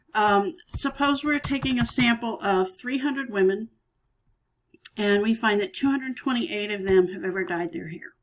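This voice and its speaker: A woman speaks in an unremarkable speaking voice with a fairly high pitch. Her intonation is lively and her pace moderate. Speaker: statistics teacher. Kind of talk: tutorial.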